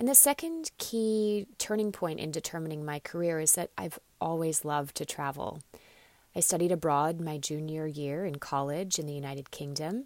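A woman speaks with an American accent at a moderate pace and a very deep, low pitch. The recording is very clean, with a silent background. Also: ordinary pitch variation. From Australia (ages 4 to 14), then US. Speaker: professor of international studies. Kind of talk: interview.

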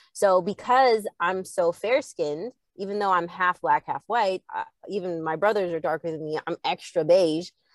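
Against a quiet background, a woman with a normal speaking voice talks at a moderate pace and medium pitch, with ordinary pitch variation, in a dry, close sound with no echo. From Canada, Edmonton. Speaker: singer and producer. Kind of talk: casual chat.

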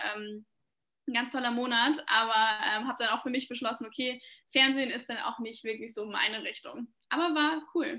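The tone is bright and sharp, delivered at a moderate pace. The recording is very clean, with a silent background. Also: woman, high pitch for a woman, ordinary pitch variation. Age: 20s. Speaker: content creator and founder of an education platform. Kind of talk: interview.

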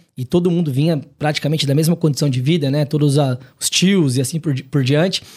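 A man speaks at a fairly quick pace with hardly any pauses. His voice is fairly high and somewhat breathy, with fairly even intonation. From Paraná, Brazil (Maringá). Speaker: consortium business owner, entrepreneur. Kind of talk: casual podcast interview. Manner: casual, colloquial.

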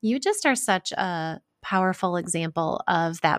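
The recording is very clean, with a silent background and a dry, close sound with no echo. A woman speaks at a fairly low pitch. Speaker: podcast host and author. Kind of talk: interview. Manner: warm, enthusiastic.

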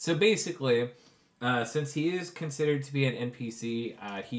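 A man with an ordinary speaking voice, ordinary pitch variation and a moderate pace. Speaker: game master running tabletop RPG. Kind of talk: tabletop RPG session with narration. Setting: in person around a table.

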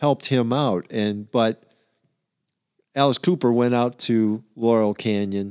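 At a fairly slow pace and with ordinary pitch variation, the speech is captured in a very clean recording with a silent background and a dry, close sound with no echo. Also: man. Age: 60s. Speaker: music fan, father of hosts. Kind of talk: casual chat. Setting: home basement studio.

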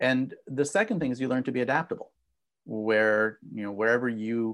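In a quiet background, a man with an ordinary speaking voice talks at a moderate pace and a medium pitch. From Israel and US, moved back and forth. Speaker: business professor and negotiation expert. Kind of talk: interview.

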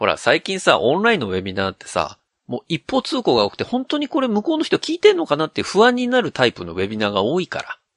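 A man talking at a very fast pace with hardly any pauses, his loudness swinging widely, in a dry, close sound with no echo. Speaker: podcast host. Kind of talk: casual chat.

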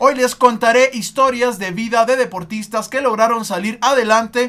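A man's extremely high, bright, sharp voice with a Mexican accent, at a moderate pace with ordinary pitch variation. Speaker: sports podcast host. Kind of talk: casual chat with storytelling.

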